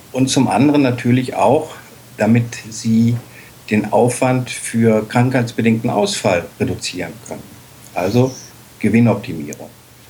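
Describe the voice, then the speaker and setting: Long, frequent pauses mark a man's speech at a fairly slow pace. His medium pitch has ordinary variation, with noticeable background noise. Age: 50s. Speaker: dog-at-work association chair. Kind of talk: interview. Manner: hesitant fillers.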